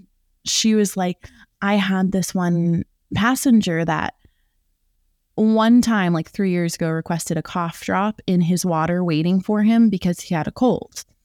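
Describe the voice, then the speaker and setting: A woman speaks slowly in a plain, everyday voice at a medium pitch, with ordinary pitch variation, the sound dry and close with no echo and the recording very clean against a silent background. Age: 20s. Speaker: private flight attendant, podcast host. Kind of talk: casual interview chat.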